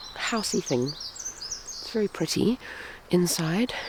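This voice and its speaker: The intonation is lively over noticeable background noise. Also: woman. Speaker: craft vlogger. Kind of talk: casual vlog. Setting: echoey room then outdoors on a farm. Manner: chatty, informal. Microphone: echoey room.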